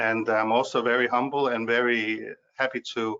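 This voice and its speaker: A man in a Danish accent, medium in pitch, monotone and flat, at a moderate pace. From Denmark. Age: 50s. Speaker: speaker on money. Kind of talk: webinar talk. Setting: video webinar. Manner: halting, many fillers.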